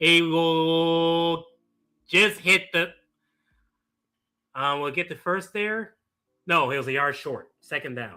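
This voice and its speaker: Music plays in the background as a high-pitched man speaks at a very slow pace. He leaves long, frequent pauses, and his pitch varies in an ordinary way. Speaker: streamer reacting to live sports. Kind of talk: live reaction commentary. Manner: animated.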